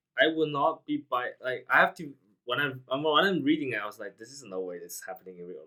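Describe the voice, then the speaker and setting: A man with a non-native accent speaks at medium pitch and a moderate pace. His tone is bright and sharp. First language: not English. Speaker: podcast host, programmer. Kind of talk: casual chat. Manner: halting.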